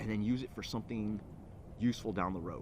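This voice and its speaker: This man talks with a Californian accent. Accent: California. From California (Alameda, near Oakland). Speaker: entrepreneur. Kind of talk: personal pitch to camera. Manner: hesitant, many fillers.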